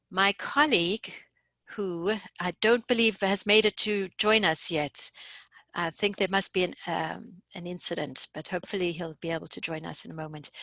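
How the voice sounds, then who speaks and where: Speaking with a South African accent, a woman with a medium pitch and bright, sharp tone keeps a moderate pace and ordinary pitch variation in a dry, close sound with no echo. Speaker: course instructor and researcher. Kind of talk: webinar presentation. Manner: hesitant, many fillers.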